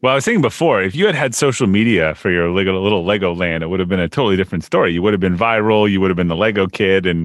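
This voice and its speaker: Talking at a very fast pace with hardly any pauses, a man with a very deep, low pitch uses ordinary pitch variation. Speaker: podcast host. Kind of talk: interview.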